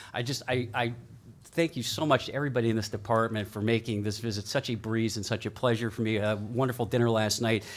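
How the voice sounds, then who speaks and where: A man speaks at a very fast pace with medium pitch and fairly even intonation. The recording is very clean, with a silent background. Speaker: keynote speaker, media lawyer. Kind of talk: keynote talk. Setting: stage with audience. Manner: loud; casual, interactive.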